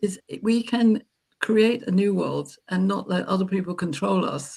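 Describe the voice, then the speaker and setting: A woman's somewhat breathy voice at a medium pitch, fairly slow, with ordinary pitch variation. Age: 70s. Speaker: panel guest on live stream. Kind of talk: casual discussion.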